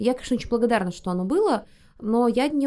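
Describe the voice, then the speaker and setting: At a very fast pace, a dark, mellow voice speaks with lively intonation on a very clean recording with a silent background. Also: woman. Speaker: podcast host. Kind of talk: casual chat.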